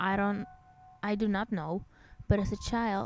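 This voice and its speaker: A woman with a fairly high pitch speaks as music plays in the background. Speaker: amateur horror story narrator. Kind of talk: horror story narration.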